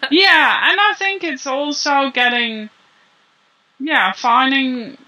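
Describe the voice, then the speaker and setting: The speaker is a woman with a non-native accent. She goes at a very slow pace. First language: not English. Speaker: copywriter and business writing coach. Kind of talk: interview. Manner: halting.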